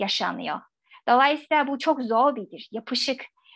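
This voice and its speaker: Against a quiet background, a woman with a Chinese accent speaks at a fairly slow pace in a high voice. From China. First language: Chinese (speaking Turkish). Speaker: academic; guest. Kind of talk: radio interview; interview answer. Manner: halting. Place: home room. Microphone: video call.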